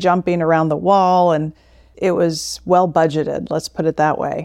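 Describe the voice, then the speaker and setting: Against a quiet background, a woman with an American accent talks at a fairly low pitch with monotone, flat intonation. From Florida, Tampa Bay area. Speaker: investment strategist. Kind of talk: interview.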